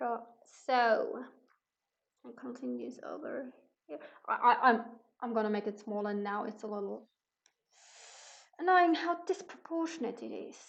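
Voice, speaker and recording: With a non-native accent, a woman talks at a high pitch with very wide pitch swings, big swings in loudness, and long, frequent pauses. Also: moderate pace. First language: not English. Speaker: artist streaming painting. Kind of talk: casual livestream commentary. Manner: halting, many fillers.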